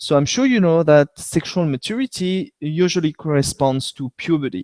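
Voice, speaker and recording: On a very clean recording with a silent background and a dry, close sound with no echo, a man with a French accent talks at a moderate pace with lively intonation. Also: fairly high pitch for a man. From France. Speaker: veterinarian. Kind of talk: educational webcast lecture. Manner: hesitant with fillers.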